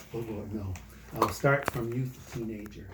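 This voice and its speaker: Somewhat breathy speech at a fairly slow pace, with audible room echo. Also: man. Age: 60s. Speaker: church member giving faith testimony. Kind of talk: testimony. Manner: casual, conversational.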